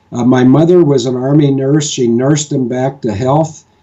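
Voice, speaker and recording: In an American accent, the voice has a dark, mellow tone, fairly even intonation, and a moderate pace. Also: man. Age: 60s. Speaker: military advocate. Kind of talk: interview discussion. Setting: home kitchen.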